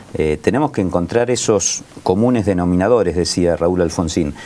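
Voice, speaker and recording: A man talks at a fairly quick pace in a very deep, low pitch with ordinary pitch variation. Noticeable background noise runs underneath. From Argentina, Buenos Aires coast (Pinamar area). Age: 60s. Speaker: local political candidate. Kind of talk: political discussion.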